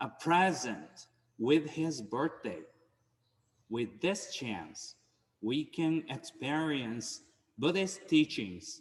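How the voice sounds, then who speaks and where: This man talks at a very slow pace, with long pauses that come often. His pitch is fairly high, his intonation lively, and vocal fry runs through his voice. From Japan. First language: Japanese. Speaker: Buddhist minister. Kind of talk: dharma talk. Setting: temple service streamed on Zoom.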